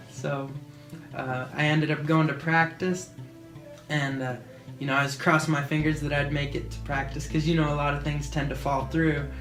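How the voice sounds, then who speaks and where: Soft-spoken and fairly high in pitch, a man talks at a moderate pace in a monotone, flat intonation with music in the background. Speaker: action sports athlete, BMX rider. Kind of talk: interview answer.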